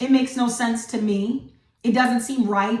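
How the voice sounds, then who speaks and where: A woman with a high pitch and ordinary pitch variation speaks in an animated tone. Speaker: online Bible teacher. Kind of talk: devotional teaching.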